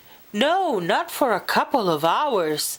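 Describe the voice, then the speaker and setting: Using a put-on character voice, a woman with a fairly high pitch makes very wide pitch swings at a fairly slow pace. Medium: read story.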